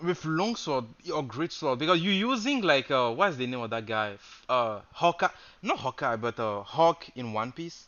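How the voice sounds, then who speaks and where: A man with a non-native accent talks at a moderate pace. His fairly high voice makes very wide pitch swings. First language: not English. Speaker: game streamer. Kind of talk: casual live stream chat. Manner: hesitant, many fillers.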